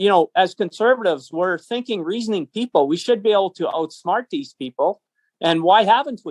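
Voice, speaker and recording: With a Canadian prairie accent, a man speaks in a high voice. His pace is fairly quick and his intonation lively. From Canada. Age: 60s. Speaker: business owner and political activist. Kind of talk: interview. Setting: phone call.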